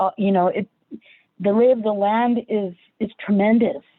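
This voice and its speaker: Using an American accent, a woman speaks at a moderate pace and medium pitch with ordinary pitch variation. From California, San Jose. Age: 60s. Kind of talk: panel discussion. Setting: online livestream panel. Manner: halting, many fillers.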